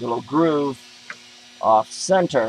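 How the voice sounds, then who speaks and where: A man's very slow, fairly high-pitched speech with ordinary pitch variation over noticeable background noise. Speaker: DIY repair video maker. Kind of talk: tutorial. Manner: loud.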